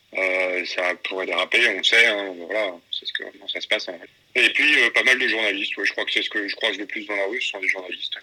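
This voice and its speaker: Fairly quick speech from a man, with noticeable noise in the background. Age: 60s. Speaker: war photojournalist. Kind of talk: interview. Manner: halting.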